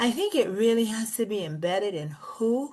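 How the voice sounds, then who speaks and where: A woman with a slight Bahamian accent speaks at a medium pitch. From Bahamas. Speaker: school district executive. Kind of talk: podcast interview.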